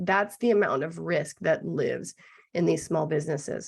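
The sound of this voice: A raspy put-on character voice at a moderate pace. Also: woman, fairly low pitch for a woman.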